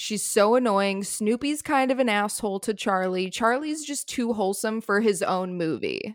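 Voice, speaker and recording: With a plain, everyday voice, a woman speaks at a moderate pace and fairly high pitch, with ordinary pitch variation. She hardly pauses, and the recording is very clean with a silent background. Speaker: podcast co-host. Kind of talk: casual chat.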